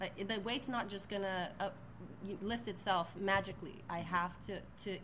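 In a room with audible echo, a woman talks at a moderate pace with a medium pitch and ordinary pitch variation. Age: 30s. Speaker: physical therapist and strength coach. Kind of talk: casual chat.

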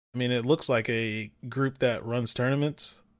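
In a very clean recording with a silent background, a man with a normal speaking voice talks at a fairly quick pace, with a medium pitch and ordinary pitch variation. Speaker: podcast host. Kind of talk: casual banter about gaming. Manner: casual, joking.

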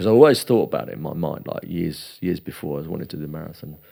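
A man's very deep, low voice at a very fast pace, with lively intonation. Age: 40s. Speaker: jiu-jitsu academy owner. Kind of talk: casual chat.

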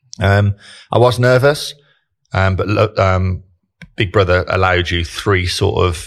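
A man with a Brummie accent, fairly low in pitch, fairly slow and fairly even in intonation, on a very clean recording with a silent background. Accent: Birmingham (Brummie). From Birmingham, England. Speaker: digital marketing director, former solicitor. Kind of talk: casual interview chat.

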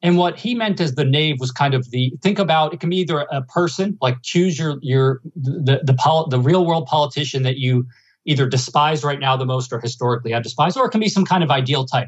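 A somewhat breathy man with an American accent, fairly high in pitch, with ordinary pitch variation, a fairly quick pace and hardly any pauses. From New Jersey / New York area. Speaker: economics professor. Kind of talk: interview.

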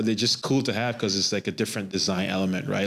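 The recording is very clean, with nothing audible in the background. The man's voice sits fairly low. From Trinidad and Tobago. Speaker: sneaker store owner and military veteran. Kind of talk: casual interview chat.

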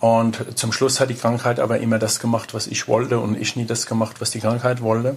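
The speech moves at a fairly quick pace. Its intonation is monotone and flat. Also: man, medium pitch for a man. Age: 50s. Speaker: personal trainer and energy consultant. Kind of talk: interview. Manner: halting, many fillers.

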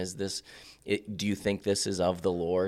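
In a normal speaking voice, a man with an American accent speaks at a fairly low pitch, in a very clean recording with a silent background. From Central Oregon. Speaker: pastor. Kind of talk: casual chat.

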